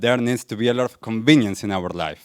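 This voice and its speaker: The speaker has an Argentine accent, and the sound is dry and close with no echo. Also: man. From Argentina. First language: Spanish. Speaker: wellness coach, speaker. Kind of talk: public talk.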